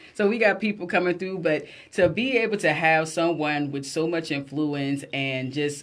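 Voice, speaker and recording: With a South Carolina Lowcountry accent, a woman talks in an animated tone at a very deep, low pitch. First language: Gullah. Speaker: radio talk show host. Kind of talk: casual live radio chat. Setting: radio studio, also streamed live.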